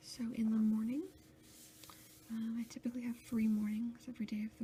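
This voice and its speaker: A soft-spoken voice at a moderate pace, with noticeable background noise. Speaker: ASMR video creator, research assistant. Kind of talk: ASMR planner walkthrough, soft-spoken talk to camera. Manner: soft-spoken, quiet, relaxing.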